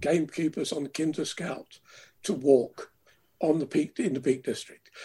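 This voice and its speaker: A man's passionate voice at a fairly slow pace, fairly high in pitch, with a dark, mellow tone and ordinary pitch variation. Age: 70s. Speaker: river swimmer and campaigner. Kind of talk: interview, reminiscing. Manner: articulate, passionate.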